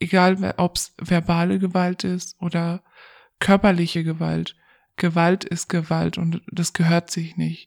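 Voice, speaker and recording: Very slow and monotone, a woman with a fairly low pitch is heard on a very clean, silent-background recording that sounds dry and close with no echo. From Germany, Pakistani family background. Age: 20s. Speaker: domestic violence survivor interviewee. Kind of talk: personal testimony in interview.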